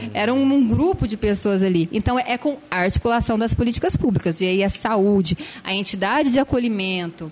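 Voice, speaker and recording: Over noticeable background noise, a woman talks at a fairly quick pace. Her fairly high voice has lively intonation. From Franca, São Paulo state, Brazil. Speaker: social worker. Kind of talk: casual interview.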